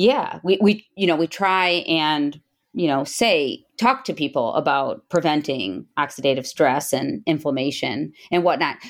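In a very clean recording with a silent background, a woman with a very deep, low pitch speaks at a fairly slow pace with lively intonation and very even loudness. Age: 40s. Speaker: breast surgeon and podcast host. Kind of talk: interview.

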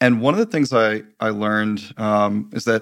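Heard on a very clean recording with a silent background, a man speaks with an American accent. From Michigan, US. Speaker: tech startup CEO. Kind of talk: interview.

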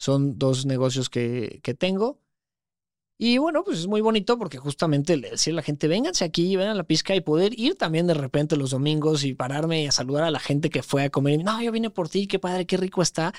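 A man with a central Mexican accent speaks at a fairly high pitch with lively intonation. The recording is very clean with a silent background and a dry, close sound with no echo. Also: fairly quick pace. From Mexico, Puebla. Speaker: content creator and entrepreneur. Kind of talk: casual interview chat. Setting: studio.

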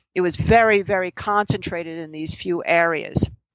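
A woman talks in an ordinary speaking voice at medium pitch. Her pace is moderate. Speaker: financial trading educator and author. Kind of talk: casual interview about investing.

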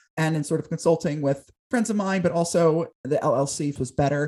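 Somewhat breathy, a man's dark, mellow voice moves at a moderate pace with ordinary pitch variation. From southern New Jersey, near Philadelphia. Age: 20s. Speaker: talk show host and producer. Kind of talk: interview conversation.

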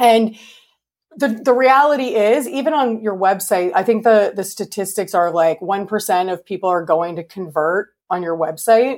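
Speaking in a Canadian accent with a plain, everyday voice, a woman uses lively intonation at medium pitch and a moderate pace on a very clean recording with a silent background. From Canada. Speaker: interior designer. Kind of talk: interview.

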